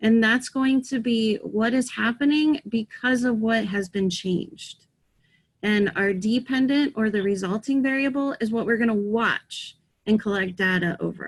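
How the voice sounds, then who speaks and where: Her loudness very even, a woman with a somewhat breathy, fairly high voice speaks at a moderate pace with ordinary pitch variation. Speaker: teacher. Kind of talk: online lesson.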